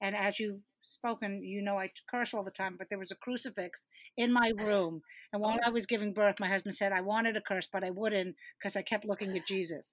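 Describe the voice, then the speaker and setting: A woman talks in a normal speaking voice at a medium pitch and a fairly quick pace. The recording is very clean with a silent background and a dry, close sound with no echo. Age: 60s. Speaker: comedian and producer. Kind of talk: casual chat.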